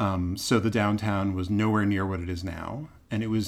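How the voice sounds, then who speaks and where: In an American accent, a man with a normal speaking voice talks at a moderate pace, his fairly low pitch showing ordinary variation. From US Northeast, Boston. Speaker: theater producer and actor. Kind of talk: interview conversation.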